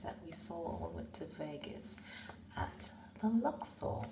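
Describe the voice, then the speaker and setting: Over noticeable background noise, a woman speaks very slowly in a relaxed tone. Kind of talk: ASMR rambling, casual talk about Titanic memorabilia. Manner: soft, relaxed, ASMR style.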